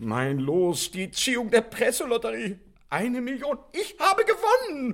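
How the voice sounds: In a put-on character voice, a man speaks at an extremely high pitch and fairly slow pace, with a fairly bright tone and big pitch swings.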